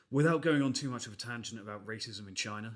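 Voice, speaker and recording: A fairly quick pace in an English accent. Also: man. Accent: English, BBC-style. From England. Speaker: podcast co-host. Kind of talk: casual chat.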